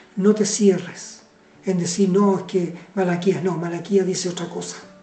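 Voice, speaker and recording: Over background music and with audible room echo, a woman speaks at medium pitch in a flat monotone at a fairly slow pace. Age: 70s. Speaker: preacher. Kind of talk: sermon. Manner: halting.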